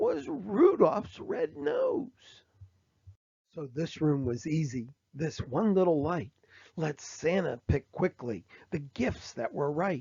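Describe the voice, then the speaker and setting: It's a raspy, put-on character voice. The pace is fairly slow. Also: man, fairly high pitch for a man. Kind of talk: bedtime story. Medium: read story. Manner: rhythmic, rhyming, playful.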